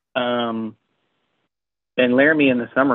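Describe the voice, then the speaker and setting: In a monotone with flat intonation, a man speaks at a moderate pace. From Wyoming (small ranch town). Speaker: chiropractor. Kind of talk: casual interview chat.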